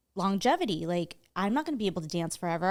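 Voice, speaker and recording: A woman's medium-pitched voice with an American accent, lively intonation and a very fast pace. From US, San Francisco Bay Area. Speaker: choreographer and creative director. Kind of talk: interview conversation.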